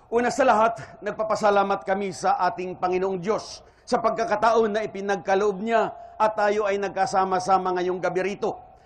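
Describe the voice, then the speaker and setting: The speech moves at a fairly quick pace with fairly even intonation. Audible room echo is present. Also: man, high pitch for a man. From Philippines, Iloilo. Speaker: Islamic preacher. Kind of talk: religious lecture. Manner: formal.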